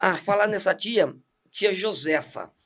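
In a very clean recording with a silent background, a man talks in an animated tone. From Santos, São Paulo, Brazil. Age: 40s. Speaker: church deacon. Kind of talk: testimony.

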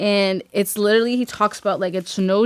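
A woman talks at a moderate pace in an American accent, with fairly even intonation. She has an ordinary speaking voice. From Boston, Massachusetts (Dorchester/Mattapan). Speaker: podcast co-host. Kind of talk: casual chat.

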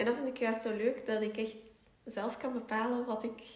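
In a Flemish accent, a woman speaks in a flat monotone. Audible room echo and noticeable background noise are present. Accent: Flemish Dutch. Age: 20s. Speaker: entrepreneur and YouTuber. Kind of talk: interview.

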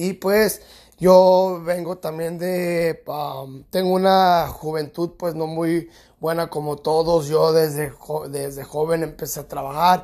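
There is a very clean recording with a silent background. A man speaks at a very slow pace in a high pitch with monotone, flat intonation. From California, US. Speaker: podcast host, personal development speaker. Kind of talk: motivational monologue. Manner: halting, many fillers.

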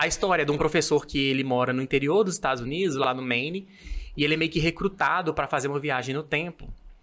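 This man's voice is fairly high in pitch with a bright, sharp tone. He talks very fast with ordinary pitch variation. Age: 30s. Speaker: civil servant, podcast guest. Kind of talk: casual chat.

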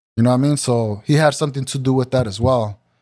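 A man with a plain, everyday voice and an American accent talks at a medium pitch with fairly even intonation in a very clean recording with a silent background. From Santa Ana, California. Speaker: rapper. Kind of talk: casual chat. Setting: studio.

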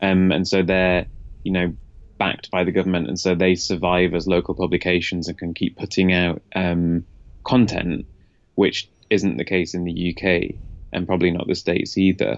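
This man's voice is very deep and low, with fairly even intonation. He speaks at a moderate pace against a quiet background. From northern England, Leeds. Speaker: tech journalist. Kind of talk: interview. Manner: hesitant, many ums.

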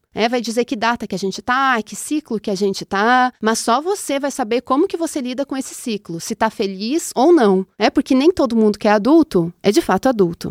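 A woman's lively intonation at a fairly quick pace, dry and close with no echo, on a very clean recording with a silent background. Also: hardly any pauses. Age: 30s. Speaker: astrologer and podcast host. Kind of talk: casual chat.

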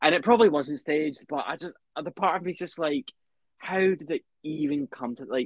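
In a British accent, a man speaks at a fairly high pitch. His pace is fairly quick. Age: 20s. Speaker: podcast co-host. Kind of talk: casual chat.

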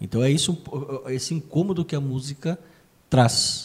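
A man with a fairly high pitch and a dark, mellow, somewhat breathy tone speaks at a moderate pace. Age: 50s. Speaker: podcast co-host, union director. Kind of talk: casual music discussion.

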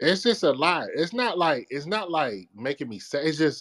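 A man's voice full of vocal fry, with very wide pitch swings at a fairly slow pace. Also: dry, close sound with no echo. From Washington DC area (Capitol Heights). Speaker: podcaster. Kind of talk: casual chat. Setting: video call.

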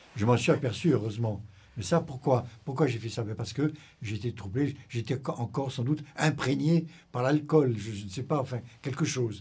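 A man talks at a moderate pace with a medium pitch, ordinary pitch variation, and a dark, mellow, somewhat breathy tone. The recording is very clean with a silent background. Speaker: retired intelligence officer. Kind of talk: interview.

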